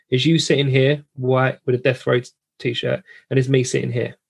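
A man with a southern English accent, medium-pitched and somewhat breathy, at a moderate pace. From southern England. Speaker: podcast host. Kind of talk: casual chat. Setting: video call.

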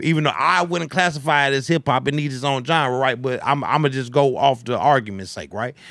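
A man with a fairly high voice talks at a fairly quick clip, his pitch varying in an ordinary way, over noticeable background noise. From Chicago, US (moved there from Arizona in 1994). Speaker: podcast co-host. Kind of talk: casual chat.

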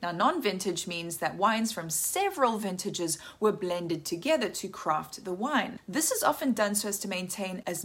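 A woman speaks at a medium pitch and moderate pace. Her lively intonation comes through a somewhat breathy voice. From South Africa. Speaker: wine educator. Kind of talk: scripted narration.

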